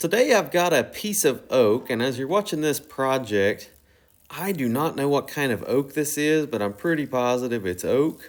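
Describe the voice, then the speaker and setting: A man with a southern Ohio accent at a medium pitch and with lively intonation, in a very clean recording with a silent background. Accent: Southern Ohio, noticeable. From US Midwest, Southern Ohio. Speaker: woodturner, channel host. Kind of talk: tutorial voice-over. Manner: casual, filler-heavy.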